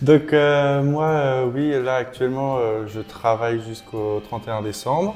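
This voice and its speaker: A man with a plain, everyday voice speaks at a fairly slow pace, with hardly any pauses. His pitch is medium, with ordinary pitch variation. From Brittany, France. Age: 20s. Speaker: vlogger. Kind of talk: casual chat.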